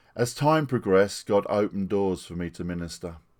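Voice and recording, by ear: This voice has a slightly mellow tone, a moderate pace and lively intonation. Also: man, low pitch for a man.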